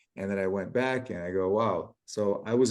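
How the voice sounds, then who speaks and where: At a moderate pace, a man talks in an unremarkable speaking voice with fairly even intonation. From US (emigrated from Kyiv at age 7). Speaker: water company founder, deuterium researcher. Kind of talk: interview conversation. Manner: casual, with many fillers.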